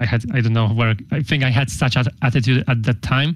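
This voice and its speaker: This man's voice sits at a medium pitch and is somewhat breathy. He speaks at a moderate pace with ordinary pitch variation. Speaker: graphics programmer. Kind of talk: interview. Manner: halting, many fillers.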